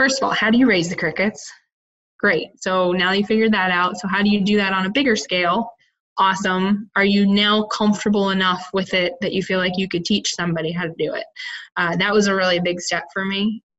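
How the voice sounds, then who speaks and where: With a US Midwestern accent, a woman talks at a fairly quick pace in a medium pitch, her intonation fairly even. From Iowa, US Midwest. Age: young. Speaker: entrepreneur, cricket farmer. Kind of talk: interview.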